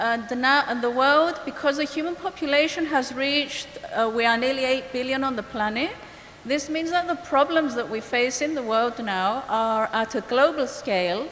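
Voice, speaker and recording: A woman with a Greek accent talks at a moderate pace in a high voice, with noticeable background noise and audible room echo. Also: ordinary pitch variation. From Cyprus, Greek Cypriot community. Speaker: biologist and ecologist. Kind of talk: conference presentation. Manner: hesitant, with fillers.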